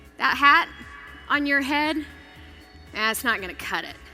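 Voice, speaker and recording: Music plays in the background as a woman with an American accent speaks in a raised, projected voice at a high pitch. Her tone is energetic and her pace moderate. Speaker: keynote speaker and television host. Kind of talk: motivational keynote speech. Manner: energetic, conversational, stage delivery to a live audience.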